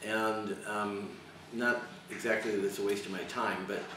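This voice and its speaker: A man talks over noticeable background noise. Audible room echo surrounds his voice. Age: 60s. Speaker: university teacher. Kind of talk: interview. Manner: halting, many repetitions.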